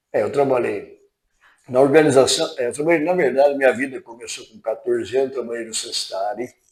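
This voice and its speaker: The loudness swings widely. Delivery runs at a fairly quick pace. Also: man. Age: 60s. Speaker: retiring utility company employee. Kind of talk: interview.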